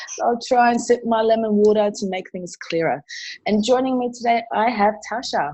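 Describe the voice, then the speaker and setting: A woman in an Australian accent speaks at a moderate pace with ordinary pitch variation. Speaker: martial arts and self-defense instructor. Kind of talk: conversational presentation.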